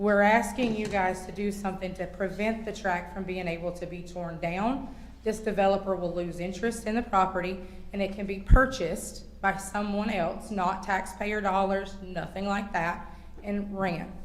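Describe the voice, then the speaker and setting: A woman with an American accent, at a medium pitch and moderate pace, in a monotone, flat intonation with audible room echo. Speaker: public commenter at county council meeting. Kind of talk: public comment. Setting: county council meeting.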